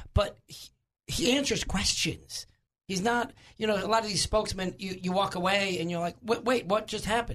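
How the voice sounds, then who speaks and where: The speaker talks in a New York accent at a moderate pace. The tone is animated, with ordinary pitch variation. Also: man. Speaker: political commentator. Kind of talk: talk radio discussion. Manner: animated, emphatic.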